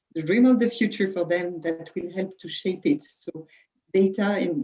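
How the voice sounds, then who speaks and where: Speaking at a moderate pace with a French accent, a woman has a dark, mellow tone, medium pitch and ordinary pitch variation. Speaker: HR director. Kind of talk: webinar panel discussion. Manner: halting.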